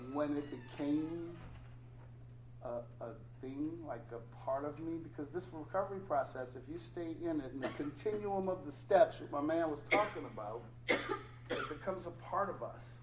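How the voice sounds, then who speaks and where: A man's fairly high voice at a moderate pace, with ordinary pitch variation and audible room echo. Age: 60s. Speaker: recovering addict, meeting speaker. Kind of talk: testimony at recovery meeting.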